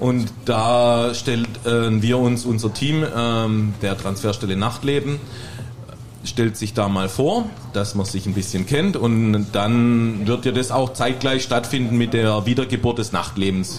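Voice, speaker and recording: Fairly even in intonation, a man talks at a fairly slow pace amid noticeable background noise and audible room echo. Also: medium pitch for a man. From Heilbronn, Germany. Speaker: bartender. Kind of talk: casual chat. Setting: stage with audience.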